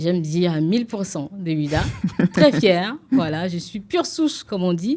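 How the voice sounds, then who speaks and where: Her lively intonation carries a woman's medium-pitched voice at a moderate pace. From Benin, Ouidah. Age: young. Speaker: TV presenter and entrepreneur. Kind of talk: interview. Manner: hesitant, with many fillers.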